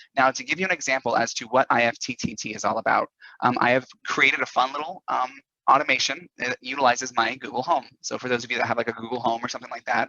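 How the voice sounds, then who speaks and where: A man talks at a very fast pace in a bright, sharp tone. The sound is dry and close, with no echo. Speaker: business presenter. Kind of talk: tutorial.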